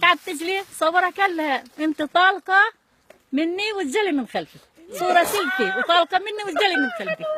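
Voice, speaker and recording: A woman's raised, projected voice rings out at an extremely high pitch with lively intonation. The sound is dry and close, with no echo. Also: moderate pace. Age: 70s. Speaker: elderly woman interviewee. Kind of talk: casual chat, storytelling.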